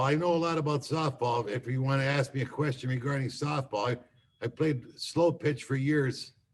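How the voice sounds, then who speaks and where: Somewhat breathy, a man speaks at a fairly high pitch with ordinary pitch variation. He holds a moderate pace with hardly any pauses. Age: 60s. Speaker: college academic mentor. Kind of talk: casual chat. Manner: animated.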